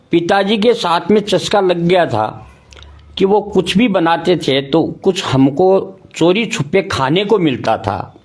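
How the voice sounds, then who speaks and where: A high-pitched man's voice with lively intonation. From Rajasthan, India. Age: 60s. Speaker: ayurvedic doctor. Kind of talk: interview.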